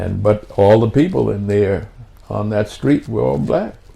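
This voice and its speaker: A man with an American accent speaks at a fairly slow pace in a fairly low, somewhat breathy voice, with a dark, mellow tone and lively intonation. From Washington, D.C. (born South Carolina). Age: 80s+. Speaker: war veteran. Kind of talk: interview. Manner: halting.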